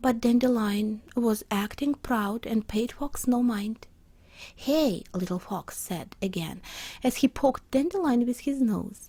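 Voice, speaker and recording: A woman's fairly high voice with a non-native accent, dark and mellow in tone, at a fairly slow pace with ordinary pitch variation. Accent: non-native, imperfect pronunciation. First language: not English. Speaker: storyteller and illustrator. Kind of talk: reading aloud a children's story.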